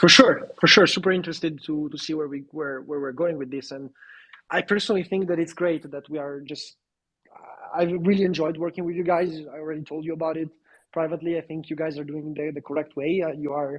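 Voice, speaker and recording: Very fast speech in an Italian accent. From Italy. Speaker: crypto project representative. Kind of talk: live audio AMA panel.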